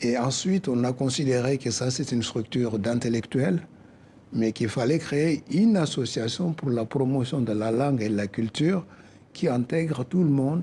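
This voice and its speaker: With a West African accent, a man speaks at a medium pitch in a dark, mellow tone. His voice is somewhat breathy and his loudness very even. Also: ordinary pitch variation, moderate pace. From West Africa, Soninke community. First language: Soninke (speaking French). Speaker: association president. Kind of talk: TV interview.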